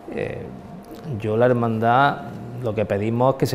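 Light background noise accompanies a man whose intonation stays fairly even. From Andalusia, Spain. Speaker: leader of a religious brotherhood. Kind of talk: interview. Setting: inside a church.

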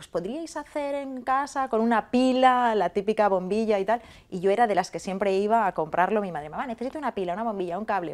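Amid light background noise, a woman with a fairly high pitch speaks very fast with lively intonation and big swings in loudness. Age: 50s. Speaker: food technology researcher and university lecturer. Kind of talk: interview. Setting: online interview. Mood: emotional moment. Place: studio. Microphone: lapel.

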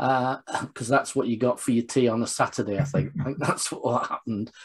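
A man's voice at a fairly quick pace, with fairly even intonation and a quiet background. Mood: warm, reminiscing. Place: home room. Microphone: video call.

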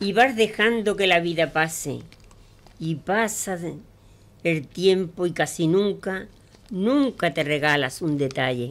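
Speaking very slowly with long, frequent pauses, a woman with a fairly low voice uses lively intonation. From Andalusia, Pozoblanco (Córdoba); Andalusia. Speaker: amateur poet. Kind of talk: poetry reading; casual radio chat. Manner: halting. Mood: warm, recitative. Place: studio. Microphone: studio mic.

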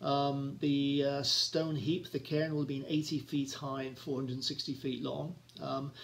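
A man speaks very slowly in a somewhat breathy voice with fairly even intonation. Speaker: travel vlogger. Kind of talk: casual talk introducing a video. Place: home room. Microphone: phone near.

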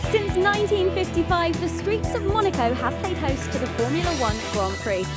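Loud music plays behind a woman who speaks at a moderate pace, the sound dry with no echo. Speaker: TV presenter. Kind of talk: travel show narration. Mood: bright, cheerful. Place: street. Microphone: handheld.

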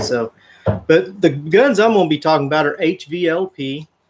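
A man talks at a moderate speed while noticeable noise comes through behind him. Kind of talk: casual Q&A tutorial. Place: garage.

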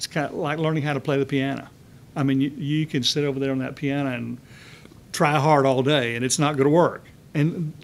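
With a Texan accent, a man talks at a fairly quick pace. Light background noise is present. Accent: Texan Southern US. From Texas. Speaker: Bible study teacher. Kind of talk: church Bible study lecture. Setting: church. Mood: warm, smiling, animated. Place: classroom. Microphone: podium.

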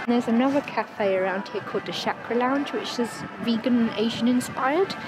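A woman speaks at a moderate pace with ordinary pitch variation, her voice dry and echo-free over loud background music. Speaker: travel vlogger. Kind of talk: casual vlog chat. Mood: cheerful, slightly self-conscious. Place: street. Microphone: phone near.

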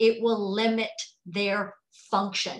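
Against a quiet background, a woman sounds animated. Her pitch sits fairly high. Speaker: exercise specialist for older adults. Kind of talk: conference presentation. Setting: video call. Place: home room. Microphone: video call.

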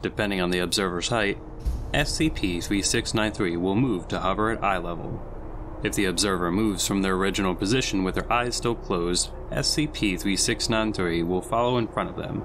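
In an ordinary speaking voice, a man talks at a fairly low pitch. His pitch variation is ordinary. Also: moderate pace. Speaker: SCP story narrator.

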